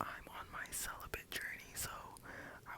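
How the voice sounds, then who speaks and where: The voice belongs to a man speaking in a whisper. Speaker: ASMR storyteller. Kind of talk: storytime. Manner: soft-spoken; whispering.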